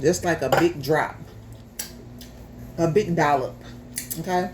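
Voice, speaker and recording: Against noticeable background noise, a woman with an American accent speaks at a fairly slow pace in a very deep, low pitch with fairly even intonation. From US South, Memphis, Tennessee. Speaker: home cook, YouTuber. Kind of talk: casual chat; cooking tutorial. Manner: casual, chatty.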